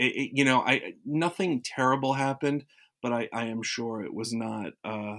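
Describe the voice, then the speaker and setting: In a very clean recording with a silent background, a man with an American accent and a normal speaking voice talks at a moderate pace with ordinary pitch variation. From South Florida. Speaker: radio alum. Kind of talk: casual interview.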